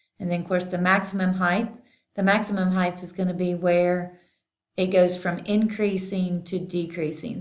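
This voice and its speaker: Her voice is fairly low for a woman and monotone, with flat intonation. She keeps a moderate pace. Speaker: math teacher. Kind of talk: tutorial.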